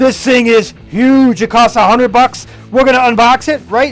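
With faint music in the background, a man speaks at an extremely high pitch. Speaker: toy channel host. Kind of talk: excited toy unboxing commentary. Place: home room. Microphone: phone near.

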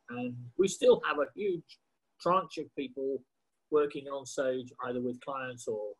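A man talks in a somewhat breathy voice with ordinary pitch variation. The background is quiet. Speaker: show host. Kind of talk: presenter introduction. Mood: warm, cheerful. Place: home room. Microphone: video call.

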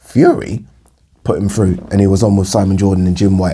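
This man's fairly low, somewhat breathy voice has a dark, mellow tone and moves at a fairly quick pace. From UK. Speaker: boxing commentator vlogger. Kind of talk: casual monologue to camera. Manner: fast talker. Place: home room.

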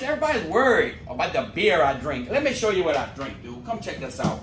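Music plays in the background as a man speaks with very wide pitch swings amid audible room echo. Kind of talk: casual cooking vlog chat. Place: garage. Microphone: camera far.

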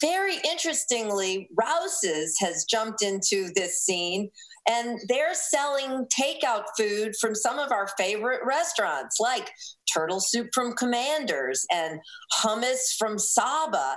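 Speaking at a fairly slow pace, a woman lets her pitch swing very widely. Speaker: food radio host guest. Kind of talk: interview answer. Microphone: video call.

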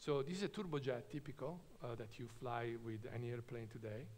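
Somewhat breathy, a man speaks at a moderate pace with ordinary pitch variation. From Italy, Trento; Italy. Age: 50s. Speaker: nuclear engineer; invited lecturer. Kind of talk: lecture. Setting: stage with audience. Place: hall. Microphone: podium.

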